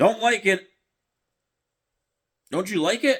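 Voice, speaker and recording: A man does a put-on character voice that is gruff and growling, with a high pitch. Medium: read story. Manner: gruff, growling.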